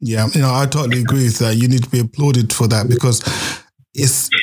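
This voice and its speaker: His voice is somewhat breathy, sitting at a medium pitch for a man with ordinary pitch variation. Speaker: podcast host. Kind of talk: interview.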